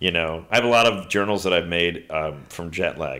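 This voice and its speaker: Speaking at a moderate pace, a man with a very deep, low pitch has a bright, sharp tone, captured in a very clean recording with a silent background. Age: 50s. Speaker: photographer. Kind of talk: casual interview chat. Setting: in person, face-to-face.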